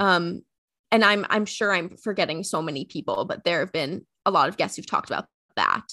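The voice has a bright, sharp tone. It moves at a fairly quick pace. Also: woman, medium pitch for a woman, ordinary pitch variation. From US Northeast, rural Connecticut. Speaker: writer and sports podcast host. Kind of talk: casual interview chat.

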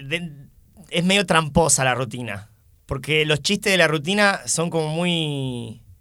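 A man speaks very slowly in a fairly high pitch, his tone bright and sharp and his pitch varying in an ordinary way. The recording is very clean, with a silent background. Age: 20s. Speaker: stand-up comedian and teacher. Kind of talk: casual chat.

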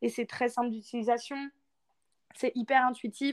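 A woman speaks in a high pitch. The sound is dry and close, with no echo. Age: 20s. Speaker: author. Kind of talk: interview.

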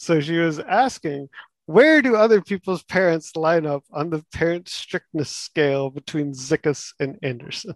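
With an American accent and a plain, everyday voice, a man talks at a moderate pace in a fairly high pitch with ordinary pitch variation, the sound dry and close with no echo. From Texas. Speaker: former housemate, works on construction projects. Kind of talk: casual chat.

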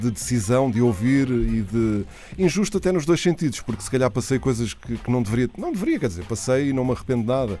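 A man speaks at a fairly quick pace in a European Portuguese accent. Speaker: radio host. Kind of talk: radio interview. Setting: radio studio.

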